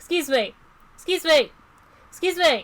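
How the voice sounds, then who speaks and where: An extremely high, put-on character voice is heard. The pace is moderate. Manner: polite, trying to get attention.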